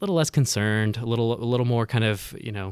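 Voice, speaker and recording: On a very clean recording with a silent background, someone speaks at a very fast pace with an American accent. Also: man. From US West, Northern California. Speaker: consultant. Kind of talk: casual interview. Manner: halting, with frequent repetitions.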